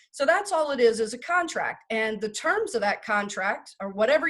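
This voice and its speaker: A woman speaks with lively intonation. Her pitch is fairly high. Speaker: estate planning lawyer. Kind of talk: lecture. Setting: video call. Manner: fast.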